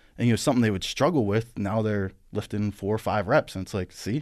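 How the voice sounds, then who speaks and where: The pace is fairly quick. It is an ordinary speaking voice. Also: man. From western Pennsylvania. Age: 30s. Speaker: powerlifter. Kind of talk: casual chat. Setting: studio.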